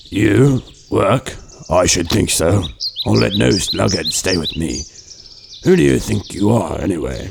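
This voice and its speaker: A man's very deep, low-pitched put-on character voice, with very wide pitch swings, a moderate pace and long, frequent pauses. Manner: gruff, stern.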